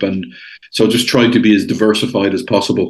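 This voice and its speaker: With an Irish accent, a man talks at a fairly quick pace. His pitch is fairly low. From Ireland. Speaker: international investor. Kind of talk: podcast interview.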